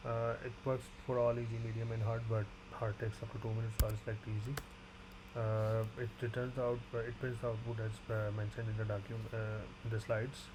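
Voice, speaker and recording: A man speaks fairly quickly at a medium pitch in a flat monotone. Noticeable background noise and audible room echo surround him. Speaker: graduate student. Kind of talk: tutorial. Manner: fast; halting.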